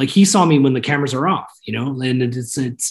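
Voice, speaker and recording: At a fairly quick pace, a man speaks in a somewhat breathy voice with a fairly high pitch and ordinary pitch variation. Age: 30s. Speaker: mortgage company executive. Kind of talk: interview.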